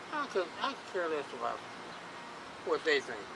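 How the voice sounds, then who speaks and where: Noticeable background noise fills the clip. Over it, a man talks in an American accent. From Chattanooga, Tennessee. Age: 60s. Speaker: homeless man. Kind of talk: interview. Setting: outdoors on a bridge. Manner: halting, repeats words.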